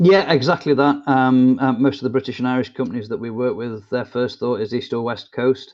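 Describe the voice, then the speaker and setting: Quiet background, with an English accent. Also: man. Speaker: business consultant. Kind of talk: interview. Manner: halting.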